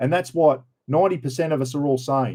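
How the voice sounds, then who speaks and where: With an Australian accent, a man speaks at a fairly quick pace in a dark, mellow tone with ordinary pitch variation. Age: 60s. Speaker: livestream host. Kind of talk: casual livestream chat.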